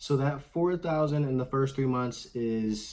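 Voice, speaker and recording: A man is speaking. His pitch shows ordinary variation. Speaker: credit card YouTuber. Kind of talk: tutorial. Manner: loud. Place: home room.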